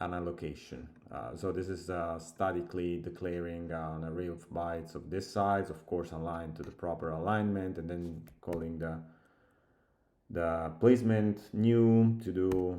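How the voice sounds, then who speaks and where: With an Italian accent, a man speaks at a moderate pace in a very deep, low, dark and mellow voice, his intonation fairly even and the room echo audible. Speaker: software developer. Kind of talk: coding tutorial. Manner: halting, thinking aloud.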